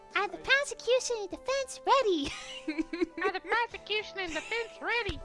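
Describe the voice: A put-on character voice comes through, squeaky and extremely high in pitch, at a moderate pace. Clear music plays in the background.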